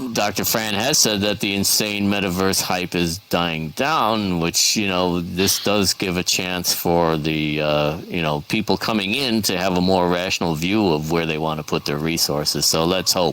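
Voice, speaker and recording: A man with a very deep, low pitch speaks at a moderate pace with hardly any pauses, ordinary pitch variation and very even loudness over noticeable background noise. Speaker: event host in virtual world. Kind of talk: casual group discussion. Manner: hesitant, many fillers.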